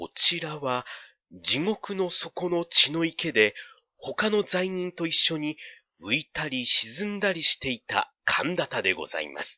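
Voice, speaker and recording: A man speaks at a very slow pace. His voice is high-pitched with lively intonation. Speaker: audiobook narrator. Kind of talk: dramatic literary narration, audiobook reading. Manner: slow, measured, storytelling delivery with hushed suspense; formal, polite old-fashioned narrative tone.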